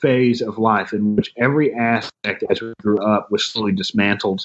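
This man talks at a fairly quick pace in a medium pitch, with a plain, everyday voice. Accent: American. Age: 30s. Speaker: astrologer and tarot reader. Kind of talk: casual interview. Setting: video call.

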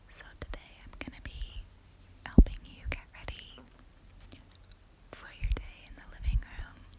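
A woman whispers fairly slowly, pausing often and at length. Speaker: ASMR artist. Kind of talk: ASMR makeup roleplay, personal attention. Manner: soft-spoken, gentle, friendly. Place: home room. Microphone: phone near.

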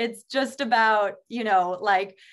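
Behind the speech, all is quiet. A woman delivers her words at a very slow pace. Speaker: podcast co-host. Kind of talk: casual chat. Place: home room. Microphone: video call.

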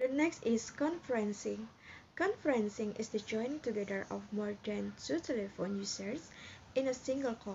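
A woman talks in a somewhat breathy voice at a moderate pace over light background noise. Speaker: presenter. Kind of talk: lecture.

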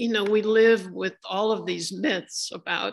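The speaker reads aloud. The delivery is plain.

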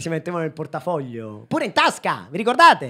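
A man's animated tone at a fairly quick pace. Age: 30s. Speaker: comedian. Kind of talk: stand-up. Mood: ironic, mock-nostalgic. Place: stage. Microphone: handheld.

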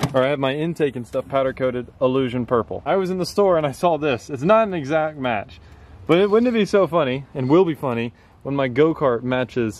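At a fairly quick pace, a man speaks with lively intonation, the sound dry with no echo and light background noise. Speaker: vlogger building a go-kart. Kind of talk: casual vlog chat. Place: street. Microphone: phone near.

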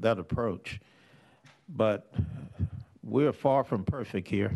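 Lively intonation marks a man's very slow speech. The background is quiet. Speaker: legislator. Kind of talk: legislative committee hearing. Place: meeting room. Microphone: podium.

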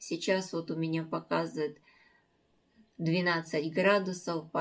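Against a quiet background, a woman with a fairly low pitch talks at a very slow pace. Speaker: home vlogger. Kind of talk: casual vlog chat. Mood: calm, early-morning chat. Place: kitchen. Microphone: phone near.

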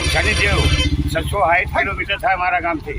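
This man talks while noticeable background noise carries on around him. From north Gujarat, Mehsana district. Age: 70s. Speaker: pilgrim cyclist. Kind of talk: street interview. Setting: outdoors at a bus stand.

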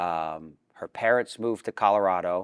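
Against a quiet background, a man talks with a very deep, low pitch. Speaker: interview guest. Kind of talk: interview answer. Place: studio. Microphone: lapel.

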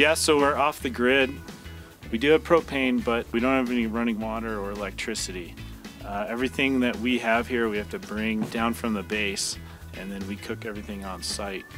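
A man talks fairly quickly while music plays clearly behind him. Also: dry sound with no echo. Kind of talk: interview answer. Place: open country.

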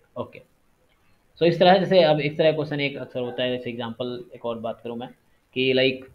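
A man talks in an unremarkable speaking voice at a medium pitch with ordinary pitch variation. His loudness swings widely. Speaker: statistics teacher. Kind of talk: online lecture.

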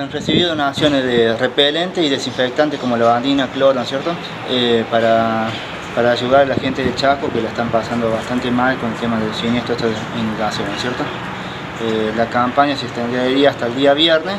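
Noticeable background noise sits behind a man who talks at a fairly quick pace. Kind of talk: interview answer. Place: garage.

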